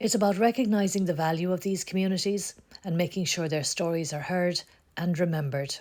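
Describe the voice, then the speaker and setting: This woman has an ordinary speaking voice, fairly low in pitch with ordinary variation. She speaks at a fairly quick pace. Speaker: oral history interviewer. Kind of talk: project introduction to camera.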